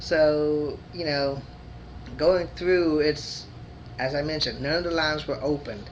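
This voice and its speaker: Audible room echo surrounds a man whose fairly high voice keeps a fairly even intonation, broken by long, frequent pauses. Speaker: video blogger. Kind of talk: casual personal vlog. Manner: halting with disfluencies.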